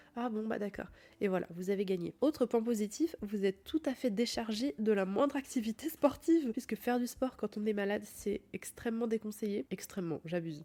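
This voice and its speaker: A woman with a fairly high pitch and a dark, mellow tone speaks with lively intonation. Her pace is fairly quick, with hardly any pauses. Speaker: podcast host. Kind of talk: casual podcast talk. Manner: soft-spoken, cosy.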